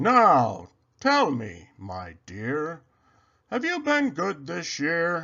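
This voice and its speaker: Very slow, fairly high-pitched speech from a man in a put-on character voice. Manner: jolly.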